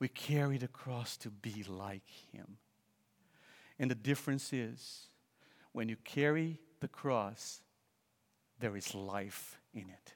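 A man with a Portuguese accent talks at a very slow pace, with long, frequent pauses and big swings in loudness. His pitch is medium with ordinary variation, and the recording is very clean over a silent background. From Brazil. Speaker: visiting preacher. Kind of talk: sermon.

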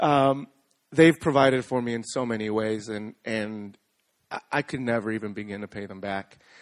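A man with an unremarkable speaking voice talks at a moderate pace in a medium pitch, with ordinary pitch variation, big swings in loudness, and a dry, close sound with no echo. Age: 20s. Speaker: youth minister. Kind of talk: testimony. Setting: church.

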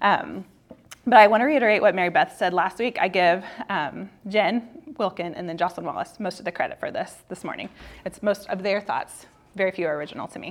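Through noticeable background noise, a woman talks at a fairly quick pace with medium pitch, ordinary pitch variation and big swings in loudness. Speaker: women's Bible class teacher. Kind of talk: prepared teaching, reading scripture aloud. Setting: church classroom, speaking to a group. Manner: fast talker, speeds up when nervous.

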